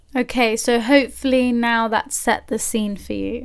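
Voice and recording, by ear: A woman's fairly high-pitched voice with vocal fry, fairly even intonation and a moderate pace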